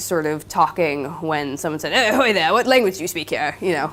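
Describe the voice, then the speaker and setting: A woman with a Californian accent speaks in a very deep, low pitch. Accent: Californian American English. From Southern California. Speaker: linguistics PhD student. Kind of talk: lecture with Q&A. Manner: hesitant, many fillers.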